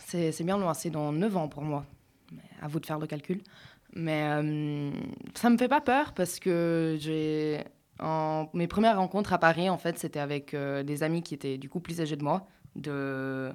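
In a very clean recording with a silent background, a woman with a very deep, low pitch and ordinary pitch variation speaks at a fairly slow pace. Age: 20s. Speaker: student radio panelist. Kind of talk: casual chat.

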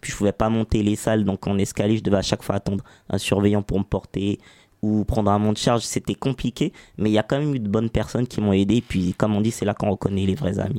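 A man speaks at a very fast pace with fairly even intonation. His voice is fairly low in pitch, with a dark, mellow tone. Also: dry, close sound with no echo. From France, Saint-Ouen (Paris suburbs). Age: 20s. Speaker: entrepreneur. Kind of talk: interview.

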